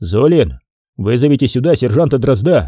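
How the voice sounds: Here is a natural reading voice with lively intonation. The background is quiet.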